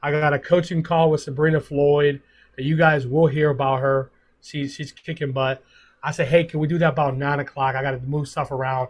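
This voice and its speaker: Fairly high-pitched male speech with some breathiness. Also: fairly quick pace. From Puerto Rico, raised in Pittsburgh. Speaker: sales district manager. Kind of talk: motivational talk on team call. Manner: animated; halting.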